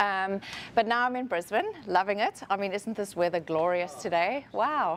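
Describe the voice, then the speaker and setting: At a moderate pace, a woman with a South African accent speaks in a medium-pitched voice. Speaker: HR professional, conference speaker. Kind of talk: conference talk.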